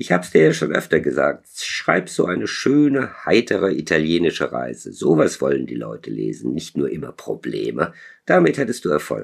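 Very deep, low male pitch with vocal fry, very wide pitch swings and a moderate pace. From southern Germany (Stuttgart, Lake Constance region). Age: 60s. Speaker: novelist. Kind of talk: interview; reading aloud. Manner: halting, many filler sounds.

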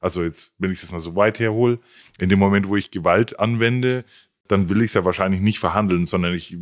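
The background is quiet as a man speaks at a fairly quick pace. His pitch varies in an ordinary way. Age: 40s. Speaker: podcast co-host. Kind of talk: interview.

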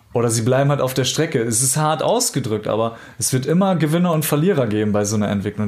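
Rattling along very fast with hardly any pauses, a man at a medium pitch uses lively intonation amid audible room echo. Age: 30s. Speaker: life coach. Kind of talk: casual interview.

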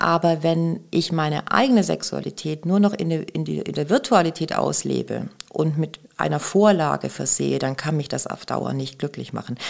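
Speaking at a moderate pace, a woman leaves hardly any pauses. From Bavaria, Germany. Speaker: sex shop employee and author. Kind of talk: casual interview chat.

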